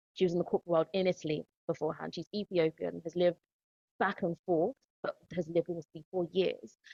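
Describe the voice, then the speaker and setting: A very fast delivery with vocal fry in a London accent. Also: woman. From East London, of Ghanaian heritage. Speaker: podcast host, educator. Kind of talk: podcast conversation.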